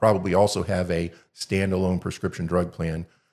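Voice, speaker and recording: The background is silent and the recording very clean. A man speaks fairly quickly. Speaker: insurance agent. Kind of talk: informational video explainer. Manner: fast.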